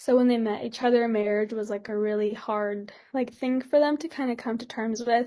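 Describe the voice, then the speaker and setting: Her tone dark and mellow, a woman talks at a moderate pace. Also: fairly even intonation, hardly any pauses. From California Central Valley, Modesto area. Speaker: student podcaster. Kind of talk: casual interview. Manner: hesitant, many fillers.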